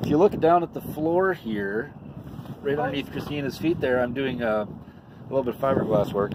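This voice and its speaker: At a moderate pace, a man talks in a dry sound with no echo, with noticeable background noise behind him. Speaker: boat owner vlogger. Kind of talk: casual vlog chat. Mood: relaxed and cheerful. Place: boat. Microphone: phone near.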